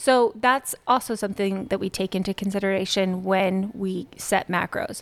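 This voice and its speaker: In a normal speaking voice, a woman talks at a moderate pace with medium pitch and fairly even intonation, on a very clean recording with a silent background. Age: 40s. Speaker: nutrition coach and gym owner. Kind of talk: interview.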